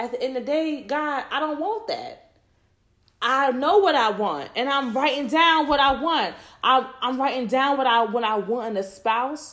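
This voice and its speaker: There is audible room echo as a woman talks at a fairly slow pace. Her pitch is high and her intonation lively. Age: 30s. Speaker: faith podcast host. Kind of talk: casual faith talk monologue.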